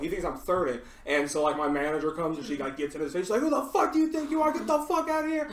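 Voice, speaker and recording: Very fast speech with hardly any pauses has an animated tone. Noticeable background noise sits behind it. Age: 20s. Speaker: podcast host. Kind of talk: casual chat.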